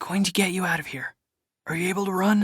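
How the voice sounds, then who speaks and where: Someone whispers very fast in a put-on character voice. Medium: read story. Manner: whispering, urgent.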